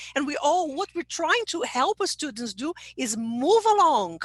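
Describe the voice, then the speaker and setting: With a Portuguese accent, a woman talks at a moderate pace with very wide pitch swings, in a dry, close sound with no echo. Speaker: English teacher trainer. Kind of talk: webinar talk. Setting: online webinar.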